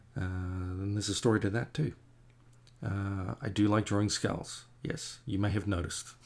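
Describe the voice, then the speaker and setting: With an Australian accent, a man speaks at a fairly low pitch with ordinary pitch variation and a somewhat breathy quality. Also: moderate pace. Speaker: comic artist. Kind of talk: casual chat while painting on a livestream. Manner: rambling, hesitant with many fillers. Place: home room.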